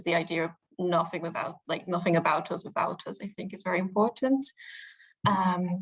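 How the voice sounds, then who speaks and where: A woman's somewhat breathy voice moves through big swings in loudness. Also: medium pitch for a woman, ordinary pitch variation, moderate pace. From UK. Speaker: youth politics spokesperson. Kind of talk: interview answer.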